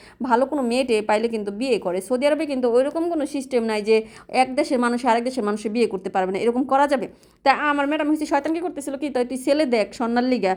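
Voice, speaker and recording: Here a woman speaks in a high voice. Her pitch varies in an ordinary way. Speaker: vlogger and domestic worker. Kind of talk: casual vlog narration. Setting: outdoors walking to shop.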